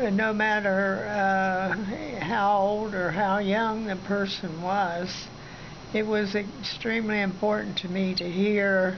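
Over noticeable background noise, the voice moves at a very slow pace in a monotone, flat intonation. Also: woman, medium pitch for a woman. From Southern Ohio, USA. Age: 80s+. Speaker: retired minister and missionary. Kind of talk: interview answer. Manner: hesitant, halting. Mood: calm, earnest, reflective. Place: home room. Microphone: phone near.

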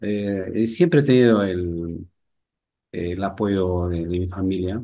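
Against a quiet background, a man with a fairly low pitch and a dark, mellow tone speaks at a very slow pace with ordinary pitch variation. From Peru, Amazonas (Luya, near Chachapoyas); Amazonas, Peru. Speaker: painter; interviewee. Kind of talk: interview. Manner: halting, with many repetitions. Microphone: video call.

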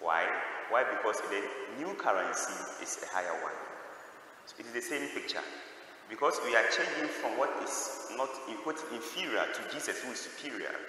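A man speaks at a moderate pace, leaving long, frequent pauses. Strong room echo surrounds him, with light background noise. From Ghana. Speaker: priest. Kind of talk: homily at Mass. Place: church.

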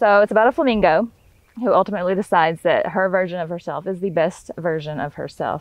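A woman with a Southern US accent talks at a very fast pace, medium in pitch with ordinary variation. The background is quiet and the sound is dry, with no echo. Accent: US South. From Northwest Florida; Florida. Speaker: podcast host, entrepreneur; podcast host. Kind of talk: casual interview chat. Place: farm. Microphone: lapel.

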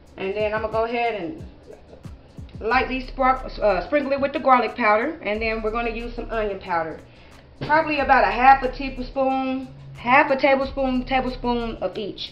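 A woman's high voice at a moderate pace, with ordinary pitch variation and faint music in the background. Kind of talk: tutorial. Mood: relaxed and friendly. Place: kitchen. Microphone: camera far.

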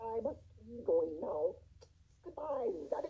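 The speaker puts on a character voice. The delivery is fairly slow. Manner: sticky, thick, full-mouthed.

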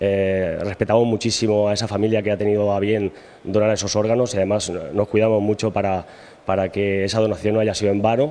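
Talking at a fairly quick pace, a man with a fairly low pitch keeps a monotone, flat intonation and very even loudness. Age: 40s. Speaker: patient advocate, lung transplant recipient. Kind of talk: news interview. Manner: halting, with repetitions and fillers. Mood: earnest, grateful. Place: hall. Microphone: handheld.

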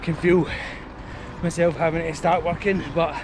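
The sound is dry with no echo, but loud background noise runs underneath. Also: man. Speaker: running vlogger. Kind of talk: casual vlog chat. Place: street. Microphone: phone near.

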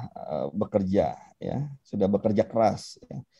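Here a man speaks with a dark, mellow tone. The background is quiet. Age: 40s. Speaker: politician. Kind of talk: interview. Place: home room. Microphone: video call.

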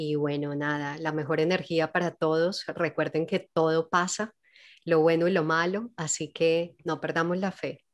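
A woman's fairly low voice, fairly slow and fairly even in intonation, against a quiet background. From Colombia, Medellín (paisa). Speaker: actress and singer; actress. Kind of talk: casual interview. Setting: video call. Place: home room. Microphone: studio mic.

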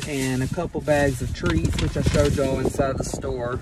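Moderate pace, with dry sound, no echo and noticeable background noise. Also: man. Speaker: vlogger. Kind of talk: casual vlog chat. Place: car.

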